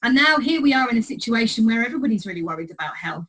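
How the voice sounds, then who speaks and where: The voice belongs to a woman with a high pitch. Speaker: clinical psychologist. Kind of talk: recorded presentation. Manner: fast.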